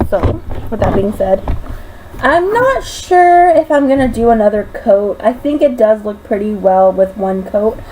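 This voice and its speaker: A woman speaks fairly slowly with very wide pitch swings and a fairly high pitch. Noticeable background noise runs under her voice. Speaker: makeup sales presenter. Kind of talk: tutorial. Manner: casual.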